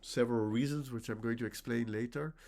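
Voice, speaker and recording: A man with a Dutch accent on a very clean recording with a silent background. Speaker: linguistics professor. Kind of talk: academic lecture. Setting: conference workshop presentation. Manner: halting, many self-corrections.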